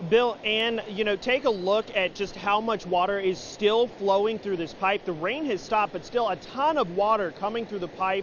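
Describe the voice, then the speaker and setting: Speaking at a moderate pace, a man with a high-pitched voice is heard over noticeable background noise. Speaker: TV news reporter and anchor. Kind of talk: TV news live shot.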